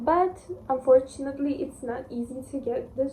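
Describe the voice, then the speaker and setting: Against noticeable background noise, a woman with a Russian accent speaks at a high pitch and a fairly slow pace, her intonation fairly even. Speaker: book reviewer. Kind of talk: casual book review vlog. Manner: casual, with fillers and restarts.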